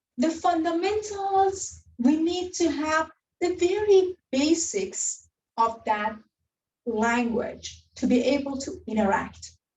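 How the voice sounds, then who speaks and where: In a non-native accent, a woman speaks at a very slow pace, her extremely high voice making very wide pitch swings. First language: not English. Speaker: university lecturer. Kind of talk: lecture.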